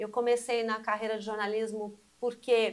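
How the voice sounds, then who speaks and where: A woman speaks at a moderate pace. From Brazil, Mogi das Cruzes, São Paulo state. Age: 60s. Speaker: journalist. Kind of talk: casual chat.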